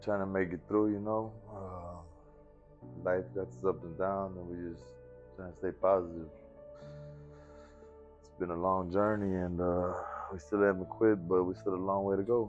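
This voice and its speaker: Over music in the background, a man with a very deep, low voice speaks at a moderate pace with fairly even intonation and long, frequent pauses. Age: 30s. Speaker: person in addiction recovery. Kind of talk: interview answer. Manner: casual, reflective.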